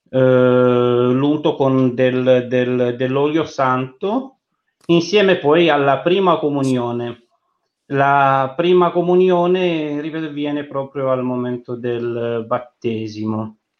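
A man talks very slowly, his medium-pitched voice showing ordinary pitch variation. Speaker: logistics worker. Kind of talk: interview. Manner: halting.

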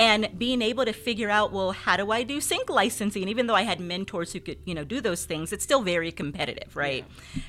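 Fairly quick, lively speech from a woman at medium pitch, bright and sharp in tone, with hardly any pauses. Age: 40s. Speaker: social entrepreneur and former social worker. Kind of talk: interview. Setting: studio.

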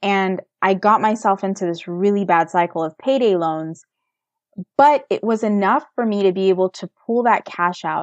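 Speaking at a moderate pace, a woman with an American accent has a plain, everyday voice at a medium pitch. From United States. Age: 30s. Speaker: personal finance blogger. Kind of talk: interview.

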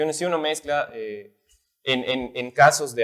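At a moderate pace, a man speaks in an unremarkable speaking voice. His pitch is medium. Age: 20s. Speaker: singer and architecture student. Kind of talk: casual interview.

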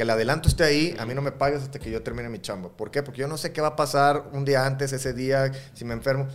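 A man's fairly high voice at a very fast clip, fairly even in intonation, with hardly any pauses. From Mexico, Matamoros (Tamaulipas). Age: 40s. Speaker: rock musician, band leader and solo artist. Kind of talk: casual interview chat.

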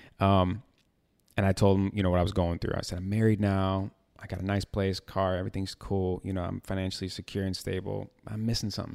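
Speaking at a very fast pace, a man with an American accent has a very deep, low pitch and a monotone, flat intonation. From Chicago, US Midwest. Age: 30s. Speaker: model and podcast host. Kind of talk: casual chat. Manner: halting, many fillers and repeats.

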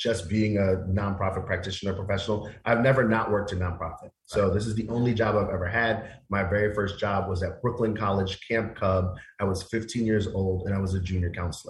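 The delivery is somewhat breathy and moves at a fairly quick pace. Intonation stays monotone and flat. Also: man, fairly low pitch for a man. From Queens, New York City. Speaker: nonprofit executive director, guest. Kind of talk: teacher voice, well rehearsed. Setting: radio talk show interview.

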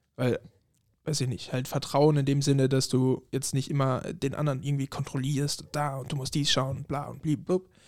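A man speaks at a moderate pace in a fairly high voice with monotone, flat intonation on a very clean recording with a silent background. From Germany. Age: 20s. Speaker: podcast guest. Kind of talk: casual chat.

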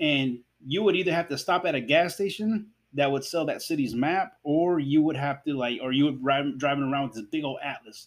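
A man talks at a fairly quick pace in a fairly high pitch with ordinary pitch variation. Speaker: podcast host. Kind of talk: casual solo podcast monologue. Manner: hesitant, many fillers.

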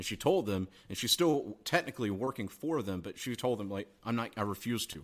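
In an American accent, an unremarkable speaking voice moves at a fairly quick pace with lively intonation, on a very clean recording with a silent background. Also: man, medium pitch for a man. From US South, South Carolina. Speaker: online entrepreneur, email marketer. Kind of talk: casual interview chat. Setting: in person, Austin.

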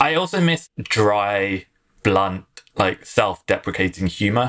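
At a very slow pace, a man speaks with an English accent. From London, England. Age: 30s. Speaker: marketing executive. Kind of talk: casual interview.

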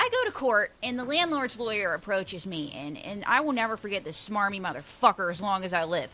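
Against noticeable background noise, a woman with a Pittsburgh accent talks at a fairly quick pace with hardly any pauses and very wide pitch swings. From Pittsburgh area, Pennsylvania. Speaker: stand-up comedian. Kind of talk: casual chat. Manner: fast.

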